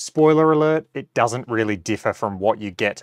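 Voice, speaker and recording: A man at a moderate pace with ordinary pitch variation, dry with no echo and a quiet background. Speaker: golf simulator reviewer. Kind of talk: tutorial. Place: home room. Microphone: lapel.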